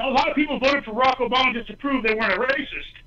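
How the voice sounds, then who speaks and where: Shouting from a man in a raised, projected voice, passionate and animated, with lively intonation at a very fast pace. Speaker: political candidate. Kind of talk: call-in talk radio debate. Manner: loud, yelling; passionate, animated.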